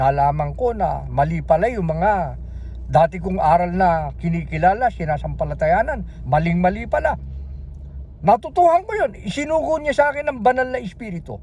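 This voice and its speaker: Noticeable background noise runs under this man's speech. He talks at a moderate pace in an animated tone. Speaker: religious video preacher. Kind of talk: sermon. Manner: loud.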